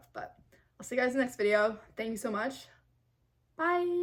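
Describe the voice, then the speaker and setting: Lively intonation laced with vocal fry. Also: woman. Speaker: singer and reaction youtuber. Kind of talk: casual reaction video commentary. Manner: fast.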